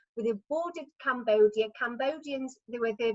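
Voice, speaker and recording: A fairly high-pitched woman with an English accent, ordinary pitch variation and a moderate pace. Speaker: retired midwife and choir member. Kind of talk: storytelling at online party. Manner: halting, many fillers.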